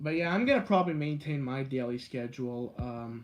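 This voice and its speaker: A man speaks in a medium pitch. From Canada, Guelph, Ontario. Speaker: live streamer, video creator. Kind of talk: live stream chat with viewers. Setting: indoors, live stream. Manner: fast.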